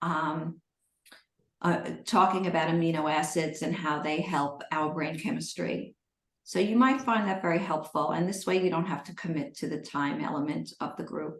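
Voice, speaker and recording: A woman's fairly low voice, an unremarkable speaking voice, with ordinary pitch variation at a moderate pace. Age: 60s. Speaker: eating disorder recovery coach and author. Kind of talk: live Q&A coaching session.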